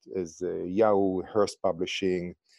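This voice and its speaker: With an Israeli accent, the speaker has a dark, mellow tone at a fairly slow pace on a very clean recording with a silent background. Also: man. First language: Hebrew. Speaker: startup founder. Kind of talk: interview.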